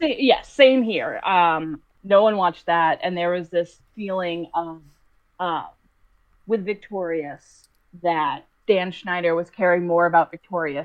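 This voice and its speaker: In an American accent, a woman speaks at a fairly slow pace with a fairly low pitch and ordinary pitch variation, in an unremarkable speaking voice. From Boston. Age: 20s. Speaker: podcast guest. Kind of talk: casual chat. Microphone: poor audio quality.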